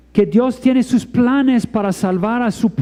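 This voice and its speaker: A man with a non-native accent, very slow pace and lively intonation. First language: not Spanish (speaking Spanish). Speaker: preacher. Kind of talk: sermon. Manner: halting.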